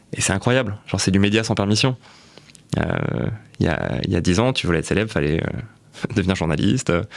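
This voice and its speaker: Talking very fast with lively intonation, a man with a fairly low, fry-edged voice still leaves long, frequent pauses. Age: 20s. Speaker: content creator and entrepreneur. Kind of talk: podcast interview. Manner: casual, with many fillers.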